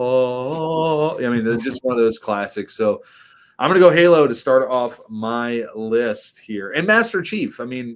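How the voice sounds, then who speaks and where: A very clean recording with a silent background captures a man using a normal speaking voice, his pitch varying in an ordinary way as he goes at a moderate pace. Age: 30s. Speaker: podcast guest. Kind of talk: casual chat.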